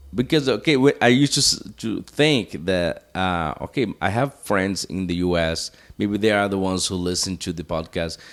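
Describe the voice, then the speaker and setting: Using a Portuguese accent, a man with a fairly low pitch speaks at a moderate pace with lively intonation. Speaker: podcast host. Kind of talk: casual chat. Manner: halting.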